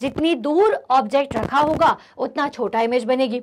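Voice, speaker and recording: A woman's high voice with lively intonation on a very clean recording with a silent background. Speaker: online physics teacher. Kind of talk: lecture. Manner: animated.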